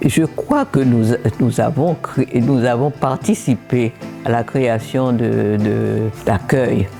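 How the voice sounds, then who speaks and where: A woman's very deep, low voice at a very slow pace, with ordinary pitch variation, very even loudness and music in the background. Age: 80s+. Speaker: human rights activist, former minister. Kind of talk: interview answer. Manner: hesitant.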